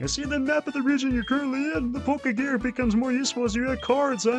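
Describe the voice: A woman talks very fast in a high, put-on character voice over clear background noise.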